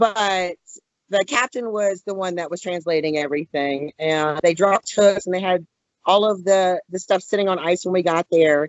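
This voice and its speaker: A woman talks at a medium pitch with ordinary pitch variation. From Louisiana. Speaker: fishing magazine writer and editor. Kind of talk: podcast interview. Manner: fast.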